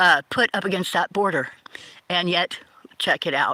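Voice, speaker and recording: A woman with an American accent speaks at a moderate pace in a bright, sharp tone. The sound is dry and close, with no echo. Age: 50s. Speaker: livestreamer. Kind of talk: political monologue. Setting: livestream. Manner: halting.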